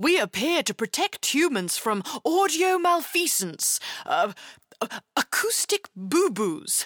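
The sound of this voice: A woman does a put-on character voice, high-pitched and fairly bright, moving slowly with big pitch swings in a dry, close sound with no echo.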